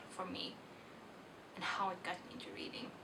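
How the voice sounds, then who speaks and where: A woman talks at a moderate pace with a Swedish accent. Audible room echo and noticeable background noise come through. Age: 20s. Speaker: book vlogger. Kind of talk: casual vlog monologue. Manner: halting.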